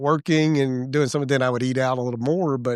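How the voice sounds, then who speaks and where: Here a man speaks at medium pitch. His pace is fairly quick and his intonation fairly even. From Mississippi, US South. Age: 60s. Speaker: church elder and founding member. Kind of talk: casual chat. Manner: halting, with frequent restarts and fillers.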